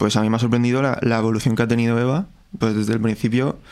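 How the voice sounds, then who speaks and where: A man is talking. The melody of his speech stays fairly flat and even. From Spain, Alicante (Novelda). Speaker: musician. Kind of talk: casual chat. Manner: halting.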